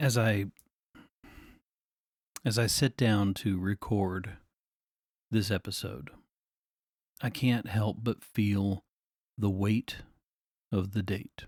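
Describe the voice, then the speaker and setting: A man speaks very slowly with long, frequent pauses, a fairly low pitch, fairly even intonation and very even loudness. The recording is very clean, with a silent background. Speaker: podcast host. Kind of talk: faith-based grief reflection podcast. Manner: very low and subdued.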